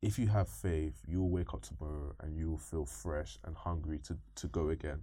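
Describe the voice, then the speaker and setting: A man with a London accent speaks at a very deep, low pitch and a moderate pace. His tone is dark, mellow and somewhat breathy, with lively intonation. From East London, England. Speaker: machine learning engineer. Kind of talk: interview.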